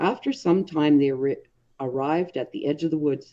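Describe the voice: A woman with a low pitch and a dark, mellow tone speaks at a moderate pace with ordinary pitch variation.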